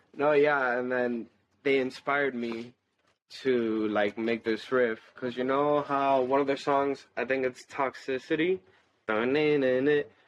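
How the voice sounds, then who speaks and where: A man talks at a fairly slow pace in an unremarkable speaking voice. His pitch is medium and his intonation fairly even. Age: young. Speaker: metal band bassist. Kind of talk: casual chat.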